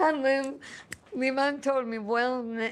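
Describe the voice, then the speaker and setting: A woman speaks with a Cuban accent. Her pace is fairly slow. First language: Spanish. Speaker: singer-songwriter. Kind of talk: interview testimony. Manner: halting.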